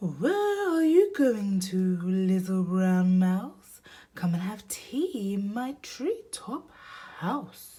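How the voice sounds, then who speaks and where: In a put-on character voice, a female-sounding speaker at a medium pitch for a woman drags along at a very slow pace. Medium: read story.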